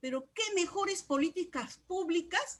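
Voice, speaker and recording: With very wide pitch swings, a woman speaks very slowly. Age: 60s. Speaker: trade unionist and feminist activist. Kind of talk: discussion contribution in online course session. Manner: halting, with many fillers.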